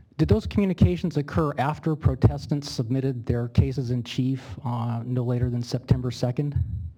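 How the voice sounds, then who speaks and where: With music in the background, a man at a medium pitch talks at a fairly quick pace with hardly any pauses and ordinary pitch variation. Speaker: attorney. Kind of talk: legal cross-examination. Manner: fast.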